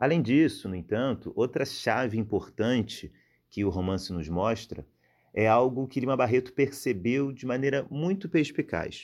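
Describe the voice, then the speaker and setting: On a very clean recording with a silent background, a medium-pitched man speaks at a fairly slow pace with lively intonation. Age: 20s. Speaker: researcher and lecturer in literature. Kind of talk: podcast lecture-style explanation. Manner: hesitant, with fillers.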